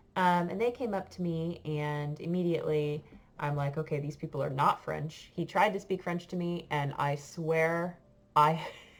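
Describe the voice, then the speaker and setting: In a very clean recording with a silent background, a woman speaks at a very deep, low pitch with fairly even intonation. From United States. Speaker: French teacher. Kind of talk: casual storytelling to class. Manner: hesitant, many fillers.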